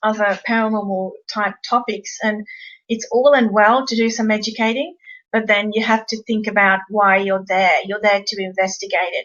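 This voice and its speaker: Fairly high in pitch, a woman with an Australian accent talks at a moderate pace with fairly even intonation. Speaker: paranormal investigator co-presenting a webinar. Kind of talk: webinar presentation.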